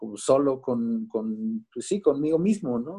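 A man's voice, with ordinary pitch variation, comes through on a very clean recording against a silent background. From Mexico, Veracruz. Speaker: musician and children's author. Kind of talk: interview. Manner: halting, many repetitions and fillers.

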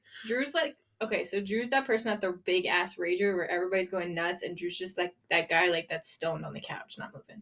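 A woman at a medium pitch in an ordinary speaking voice talks at a fairly quick pace with ordinary pitch variation and hardly any pauses. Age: 20s. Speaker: podcast co-host and YouTube creator. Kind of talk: casual chat. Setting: temporary recording setup, audio and video.

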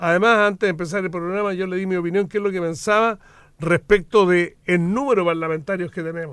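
Here a man talks at a very fast pace with a high pitch. His pitch varies in an ordinary way, and the recording is very clean with a silent background. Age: old. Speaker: politician. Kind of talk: radio interview. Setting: radio studio.

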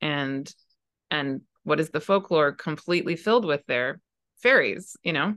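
Long, frequent pauses break up speech at a moderate pace with lively intonation, set against a quiet background in a dry, close sound with no echo. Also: woman, very deep, low pitch for a woman. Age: 40s. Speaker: astrologer. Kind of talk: casual chat.

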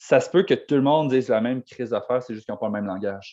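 A man of medium pitch talks at a very fast pace. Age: 20s. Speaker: podcast co-host. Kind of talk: casual chat.

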